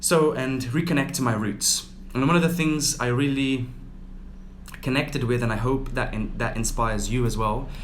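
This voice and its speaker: A man speaks at a moderate pace in a medium pitch, with ordinary pitch variation and audible room echo. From Brazil (Rio de Janeiro). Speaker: yoga teacher. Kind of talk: casual livestream talk.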